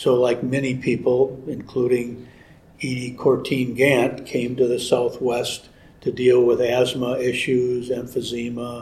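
Monotone and flat in intonation, a man with an American accent speaks at a fairly slow pace in a medium pitch. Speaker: ranch homeowner. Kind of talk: interview. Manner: halting.

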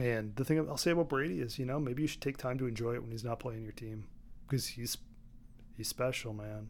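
Speaking at a fairly quick pace, a man uses an unremarkable speaking voice at medium pitch with ordinary pitch variation. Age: 50s. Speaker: former baseball hitting coach. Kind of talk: casual chat. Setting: studio.

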